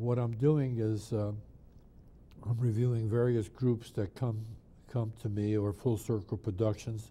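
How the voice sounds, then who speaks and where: A man speaks at a fairly slow pace with a fairly low pitch. His tone is dark and mellow, and somewhat breathy. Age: 80s+. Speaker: drummer and music producer. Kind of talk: interview. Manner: hesitant, with many fillers.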